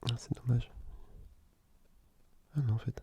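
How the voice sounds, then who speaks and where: A soft-spoken man at a moderate pace, relaxed in tone, his intonation monotone and flat. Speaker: ASMR gaming content creator. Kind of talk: casual soft-spoken gameplay commentary. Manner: soft-spoken, relaxed, conversational.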